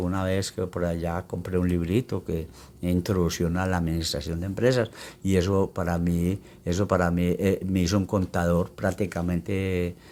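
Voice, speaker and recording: In a very deep, low voice with a dark, mellow tone, a man speaks at a moderate pace with monotone, flat intonation. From Colombia, Risaralda (Belén de Umbría). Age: 70s. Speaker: elderly resident interviewee. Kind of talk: interview. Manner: halting, with fillers and repetitions.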